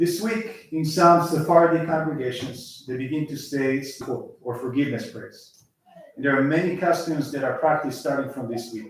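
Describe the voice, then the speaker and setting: A man talks at a moderate pace in a fairly high voice with ordinary pitch variation. His loudness swings widely. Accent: Israeli. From Israel. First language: Hebrew. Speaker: lay speaker at synagogue service. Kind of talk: sermon.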